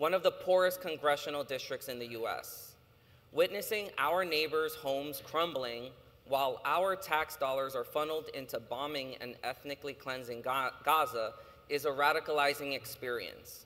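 A man with an American accent speaks at a fairly high pitch with ordinary variation. His tone is bright and sharp, and his pace is moderate. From New York. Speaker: panel chair and activist. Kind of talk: prepared speech. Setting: stage with audience. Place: hall.

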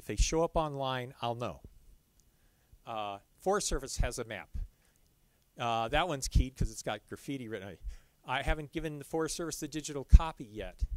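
A man talks with ordinary pitch variation, and the sound is dry with no echo. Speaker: presenter. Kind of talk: lecture. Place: hall.

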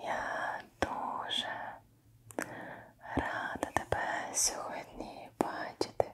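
A woman whispers very slowly, with noticeable background noise behind her. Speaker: ASMR creator. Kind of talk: soft-spoken ASMR roleplay. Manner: gentle close-mic whisper. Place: home room.

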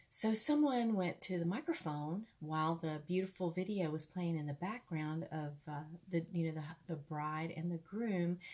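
Her voice fairly low, a woman speaks at a moderate pace. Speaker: ministry host sharing a testimony. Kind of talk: casual storytelling sermon. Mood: warm, conversational. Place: home room. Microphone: earbuds.

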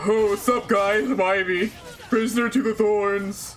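In a put-on character voice, a man speaks high-pitched at a moderate pace. His intonation stays fairly even. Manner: mock high feminine voice.

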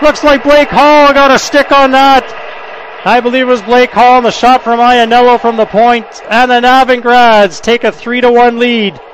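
Extremely high-pitched male speech, dry with no echo, over light background noise. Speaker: hockey play-by-play announcer. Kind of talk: live sports commentary. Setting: arena broadcast, game in progress. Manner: fast, clipped play-by-play; excitable on goals, rising pitch. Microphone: headset.

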